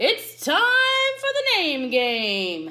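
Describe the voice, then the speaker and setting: Pitching her voice extremely high, a woman performs a put-on character voice. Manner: upbeat, announcing.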